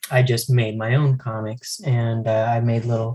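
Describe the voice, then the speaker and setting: A man with an American accent talks at a fairly slow pace in a dark, mellow tone. His voice is somewhat breathy, and his intonation stays flat and monotone. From US Southwest (El Paso, Texas). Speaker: comic book artist. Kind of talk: casual interview. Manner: halting, many fillers.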